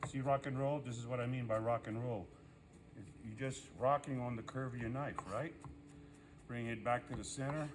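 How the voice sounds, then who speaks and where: Over music in the background, a man at a medium pitch talks at a moderate pace with fairly even intonation and long, frequent pauses. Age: 60s. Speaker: culinary instructor. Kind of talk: tutorial. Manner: casual, conversational.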